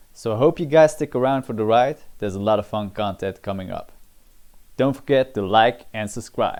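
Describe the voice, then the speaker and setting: A man with a non-native accent, a dark, mellow tone, a moderate pace and ordinary pitch variation. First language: not English. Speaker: MMA analysis YouTuber. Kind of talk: scripted analysis narration.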